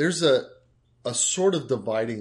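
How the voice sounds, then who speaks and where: Against a quiet background, a man speaks at a very slow pace with lively intonation and a somewhat breathy voice. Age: 50s. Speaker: podcast co-host. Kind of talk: casual chat.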